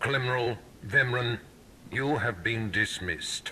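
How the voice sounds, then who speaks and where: A man puts on a character voice at a medium pitch, talking at a fairly slow pace. Clear background noise runs behind him. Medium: video game. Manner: cold, authoritative.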